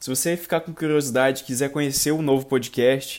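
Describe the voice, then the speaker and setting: A man with a Brazilian accent speaks very fast at medium pitch with fairly even intonation. The recording is very clean, with a silent background. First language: Portuguese. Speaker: podcast host. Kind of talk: casual chat.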